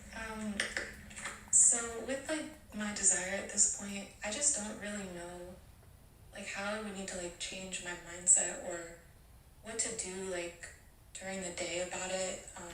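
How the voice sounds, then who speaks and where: Speaking fairly slowly with long, frequent pauses, a woman keeps a medium pitch and ordinary pitch variation over noticeable background noise. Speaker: audience member asking a question. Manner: hesitant, many filler words.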